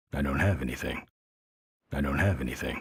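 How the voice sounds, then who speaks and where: Putting on a raspy character voice, a man speaks at a very fast pace with a very deep, low pitch. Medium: video game. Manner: terse, gruff.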